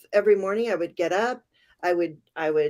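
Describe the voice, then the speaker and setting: A woman's voice with a dark, mellow tone is heard on a very clean recording with a silent background. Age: 60s. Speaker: tarot reader. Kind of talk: casual interview.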